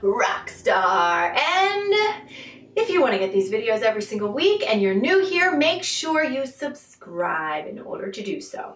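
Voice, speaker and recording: A high-pitched woman at a fairly slow pace, with big swings in loudness and audible room echo. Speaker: spiritual coach vlogger. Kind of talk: casual vlog chat. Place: home room. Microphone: camera far.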